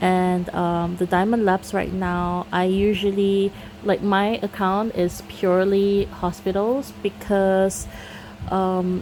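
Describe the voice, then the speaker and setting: Speaking at a fairly slow pace, a woman has a Singaporean accent and medium pitch. Noticeable background noise runs underneath. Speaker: gaming YouTuber. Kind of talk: casual Q&A chat. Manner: casual, with fillers and false starts.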